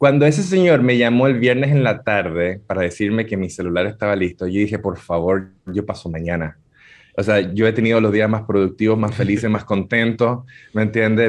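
A man with a plain, everyday voice speaks at a moderate pace, his fairly low pitch showing ordinary pitch variation. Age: 40s. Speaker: digital marketing speaker. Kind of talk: radio interview.

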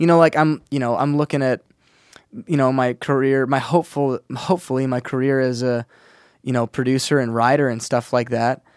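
A man with an unremarkable speaking voice talks at a fairly quick pace, medium in pitch and fairly even in intonation. The recording is very clean with a silent background and a dry, close sound with no echo. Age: 30s. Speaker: musician. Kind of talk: casual chat. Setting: studio.

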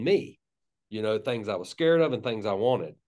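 At a moderate pace, a man talks at a medium pitch. He has a slight Southern US accent. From US South, North Florida (Tallahassee). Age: 50s. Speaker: pastor and author. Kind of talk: casual interview conversation.

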